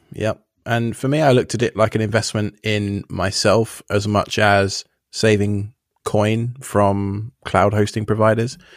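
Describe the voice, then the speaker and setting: Heard dry and close with no echo, a man with an English accent talks at a fairly slow pace in a fairly low pitch, his intonation monotone and flat. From England. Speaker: self-hosting podcaster. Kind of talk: casual chat. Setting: remote call.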